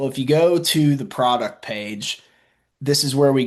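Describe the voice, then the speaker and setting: Someone with a Southern US accent speaks at a moderate pace with ordinary pitch variation over a quiet background. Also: man. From US South. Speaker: marketing executive presenting at a webinar. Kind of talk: webinar presentation. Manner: casual, with frequent fillers.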